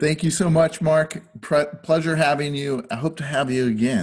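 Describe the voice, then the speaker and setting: At a moderate pace, a man speaks in a somewhat breathy voice, fairly high in pitch, with ordinary pitch variation. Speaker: podcast host. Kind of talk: casual chat.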